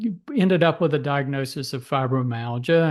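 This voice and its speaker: Over a quiet background, a man with an ordinary speaking voice talks at a fairly slow pace, his pitch fairly high with ordinary pitch variation. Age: 60s. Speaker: physician. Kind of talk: interview.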